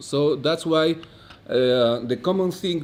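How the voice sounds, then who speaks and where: With a Bolivian accent, a man speaks at a fairly slow pace with ordinary pitch variation. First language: Spanish. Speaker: economist, conference speaker. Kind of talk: conference lecture. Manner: halting, many fillers.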